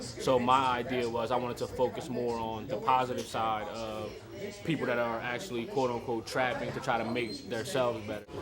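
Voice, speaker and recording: A man at medium pitch, fairly even intonation and a fairly quick pace, with audible room echo and music in the background. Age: 20s. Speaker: interviewee, aspiring artist. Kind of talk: interview. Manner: hesitant, many fillers.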